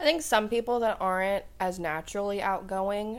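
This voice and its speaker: In an American accent, a woman at medium pitch uses an ordinary speaking voice with ordinary pitch variation. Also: very clean recording, silent background. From US Midwest, Columbus, Ohio. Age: 20s. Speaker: college student. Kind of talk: casual interview.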